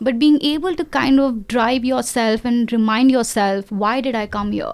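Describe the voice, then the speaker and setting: At a moderate pace, a woman talks in a high pitch with ordinary pitch variation. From India, Delhi. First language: not English (Indian language). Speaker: AI specialist. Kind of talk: interview.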